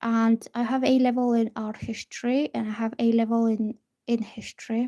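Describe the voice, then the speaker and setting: Spoken with a Bulgarian accent, the words come at a very slow pace. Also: woman. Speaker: tarot reader. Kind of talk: live stream tarot reading chat. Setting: live stream at a table.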